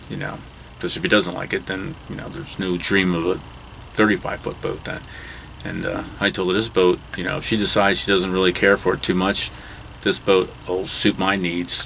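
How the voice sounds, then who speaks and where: Light background noise sits behind a man with a very deep, low pitch. His intonation is fairly even and his pace moderate. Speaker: boat owner vlogger. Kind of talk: casual vlog chat. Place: boat. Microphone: phone near.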